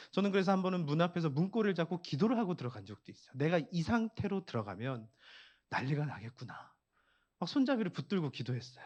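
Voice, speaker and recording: Against a quiet background, a man with a fairly high voice talks at a fairly quick pace, his pitch swinging very widely. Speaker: pastor. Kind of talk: sermon. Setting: church prayer meeting.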